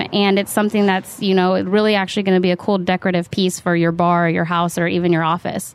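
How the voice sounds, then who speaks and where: A woman's medium-pitched voice in a West Coast accent, with monotone, flat intonation. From Northern California, Sacramento. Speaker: bartender. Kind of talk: casual interview chat.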